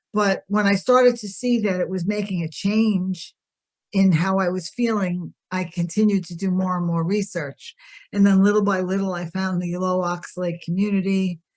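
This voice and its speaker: At a moderate pace, a woman with a somewhat breathy voice speaks at medium pitch with fairly even intonation. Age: 60s. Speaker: podcast guest sharing health story. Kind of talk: interview testimony.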